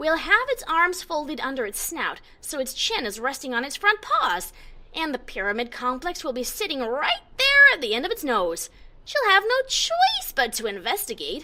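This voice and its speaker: In a put-on character voice, a woman uses a high pitch with very wide pitch swings. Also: moderate pace. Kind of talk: first-person story reading. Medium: read story.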